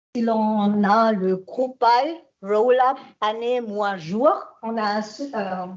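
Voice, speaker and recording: In a German accent, a woman with a fairly high pitch and ordinary pitch variation speaks at a very slow pace amid audible room echo. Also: long, frequent pauses. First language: German (speaking French). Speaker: IT consultant and trainer. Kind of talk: conference talk. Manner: halting.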